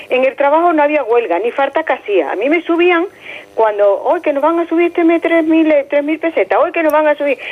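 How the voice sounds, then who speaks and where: Her loudness stays very even as a high-pitched woman speaks at a fairly quick pace. Her intonation is lively. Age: 60s. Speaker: caller. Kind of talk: call-in opinion.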